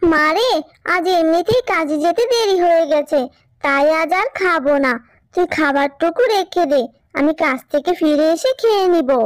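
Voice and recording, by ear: A cartoonish character voice at an extremely high pitch talks at a moderate pace.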